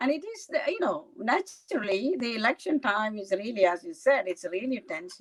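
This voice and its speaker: A woman speaks at a fairly high pitch with very wide pitch swings. Her loudness swings widely too. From India, Kerala. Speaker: county legislator. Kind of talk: interview. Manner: halting.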